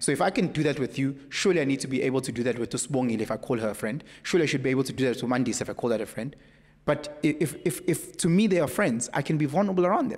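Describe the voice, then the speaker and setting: Speaking at a very fast pace, a man uses a fairly high pitch and lively intonation, with a quiet background behind him. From South Africa. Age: 30s. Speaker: podcast guest. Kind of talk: casual chat. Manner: animated. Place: studio. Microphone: studio mic.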